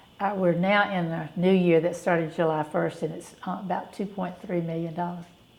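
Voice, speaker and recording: The delivery comes in a Southern US accent at a moderate pace. Its intonation is monotone and flat. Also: woman, fairly low pitch for a woman. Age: 70s. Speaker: charity director. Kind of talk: interview.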